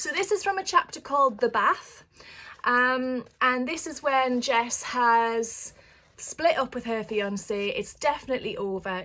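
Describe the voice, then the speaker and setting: A woman's high-pitched, bright and sharp voice in a northeast English accent, with lively intonation and a moderate pace. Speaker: author. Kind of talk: casual chat to camera. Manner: halting.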